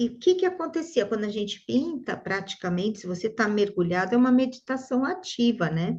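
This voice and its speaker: A woman with a fairly high pitch and a somewhat breathy sound talks at a fairly quick pace with hardly any pauses and very wide pitch swings. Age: 60s. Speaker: neuropsychologist and art therapy teacher. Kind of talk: interview conversation. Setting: video call.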